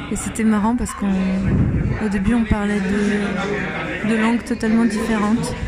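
A woman speaks at a fairly slow pace in a monotone, flat delivery with hardly any pauses and very even loudness. Noticeable background noise and audible room echo fill the recording. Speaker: travel podcaster walking a pilgrimage. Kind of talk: travel diary monologue.

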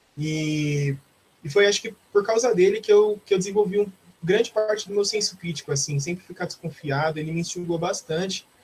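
A man speaks at a high pitch with ordinary pitch variation. His pace is fairly quick. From Brazil, Osasco (greater São Paulo). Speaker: philosophy student and social media content creator. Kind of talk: casual interview.

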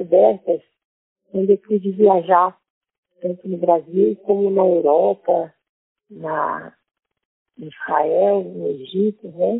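Very slowly, a woman talks at medium pitch with ordinary pitch variation. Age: 70s. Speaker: women's association counselor. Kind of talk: testimony.

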